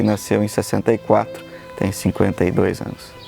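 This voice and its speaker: Music plays in the background as a man speaks. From São Paulo state interior, Brazil. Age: 50s. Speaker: engineer and poet. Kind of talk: interview testimony.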